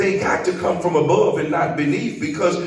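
Light background noise plus audible room echo. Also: man. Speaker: preacher leading prayer. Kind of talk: sermon prayer. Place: church.

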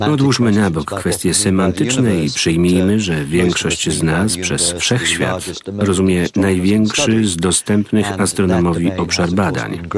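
A man with a very deep, low pitch speaks at a fairly slow pace, his pitch varying in an ordinary way and his loudness very even. The sound is dry with no echo, though background noise is noticeable. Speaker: voice-over reader. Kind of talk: documentary voice-over narration. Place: studio. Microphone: studio mic.

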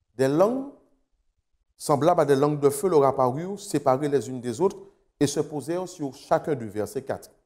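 Against a quiet background, a man speaks at a moderate pace with ordinary pitch variation. His voice is fairly high with a dark, mellow tone. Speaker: pastor. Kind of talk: sermon delivered to a remote congregation, ending in prayer. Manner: earnest, formal, measured pulpit delivery; rhythmic, repeating phrases in building cadence. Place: studio. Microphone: lapel.

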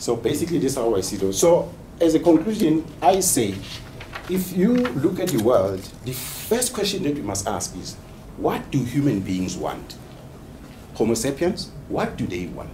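Over noticeable background noise, the speaker moves at a moderate pace with very wide pitch swings. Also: man, fairly high pitch for a man. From South Africa, KwaZulu-Natal (Umlazi township); KwaZulu-Natal. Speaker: PhD student and HR executive; presenter. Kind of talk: research presentation and discussion. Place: meeting room. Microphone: camera far.

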